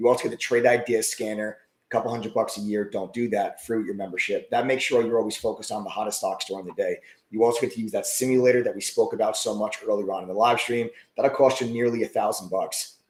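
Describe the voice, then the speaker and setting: Putting on a raspy character voice at a medium pitch, a man speaks at a very fast pace. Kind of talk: sales pitch. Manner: very fast, rapid-fire.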